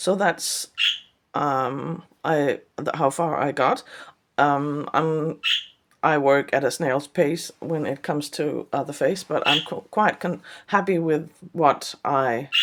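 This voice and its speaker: A woman with a Danish accent, a very deep, low pitch, ordinary pitch variation and a very slow pace. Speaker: artist. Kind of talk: vlog. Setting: studio. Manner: halting.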